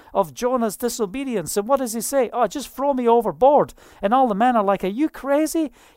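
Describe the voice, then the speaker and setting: A woman speaks with a Scottish accent. Her pitch is fairly high and her intonation is lively. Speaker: preacher. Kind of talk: sermon. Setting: online video broadcast. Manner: animated.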